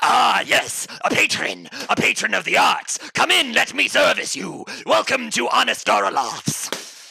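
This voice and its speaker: Taking on a put-on character voice, a man delivers his lines fairly slowly. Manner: sinister, inviting.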